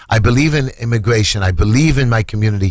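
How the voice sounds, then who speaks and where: A man with a New York accent speaks fairly quickly at a medium pitch, somewhat breathy, with ordinary pitch variation. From New York, Brooklyn. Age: 60s. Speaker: city council candidate. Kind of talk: radio interview. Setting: studio. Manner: animated.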